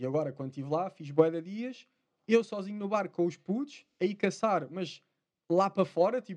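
At a fairly quick pace, a man talks in a high pitch with lively intonation. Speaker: spearfisherman. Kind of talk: casual chat.

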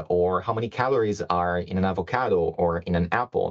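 A man talks at a moderate pace with ordinary pitch variation. His is an ordinary speaking voice. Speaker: product manager. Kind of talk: product presentation.

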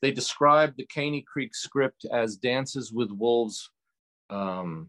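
Over a quiet background, a man with an ordinary speaking voice, medium pitch and lively intonation talks at a fairly slow pace in a dry, close sound with no echo. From New York, Hudson Valley. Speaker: radio show host and musician. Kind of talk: interview. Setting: remote from home cabin.

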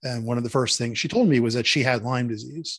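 A man's ordinary speaking voice with an American accent, medium pitch and fairly even intonation. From Philadelphia. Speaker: author. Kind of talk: interview.

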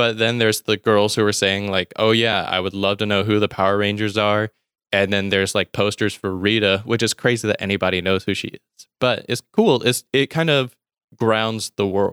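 On a very clean recording with a silent background, a man with a Southern US accent speaks at a moderate pace and fairly low pitch, with fairly even intonation and a dry, close sound with no echo. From US South, Mississippi. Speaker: podcaster. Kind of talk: casual chat.

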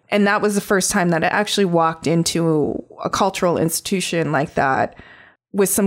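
A woman's fairly low-pitched, unremarkable speaking voice on a very clean recording with a silent background. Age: 40s. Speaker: artist. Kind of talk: interview.

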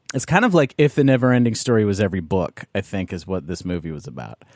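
In an unremarkable speaking voice, a man talks at a fairly quick pace with medium pitch and lively intonation, recorded very cleanly against a silent background with a dry, close sound and no echo. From Canada. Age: 30s. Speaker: podcast host. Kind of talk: casual chat.

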